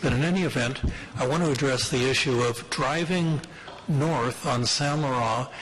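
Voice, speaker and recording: At a fairly slow pace with ordinary pitch variation, the voice comes through audible room echo and noticeable background noise. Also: man. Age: 60s. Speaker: local resident addressing city committee. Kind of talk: public delegation at council committee. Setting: city committee meeting room.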